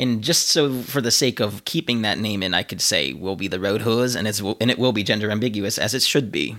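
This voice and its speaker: In a plain, everyday voice, the speech runs at a fairly quick pace with ordinary pitch variation and hardly any pauses. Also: man, fairly low pitch for a man. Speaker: podcast host. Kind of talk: casual chat. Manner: joking, playful.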